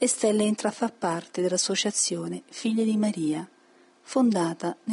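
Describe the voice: The voice is plain reading aloud. Nothing more is heard.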